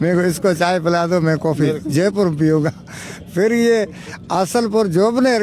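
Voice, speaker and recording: Noticeable background noise accompanies a man speaking at a high pitch. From Rajasthan, India (Ramsar area). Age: 70s. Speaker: retired village elder, former branch postmaster. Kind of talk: interview, casual storytelling. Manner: halting, with false starts.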